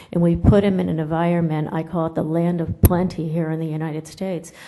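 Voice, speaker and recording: A woman with a fairly low pitch speaks in a dark, mellow tone. Room echo is audible. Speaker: nutrition professor. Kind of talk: conference lecture. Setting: conference room with audience. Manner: loud.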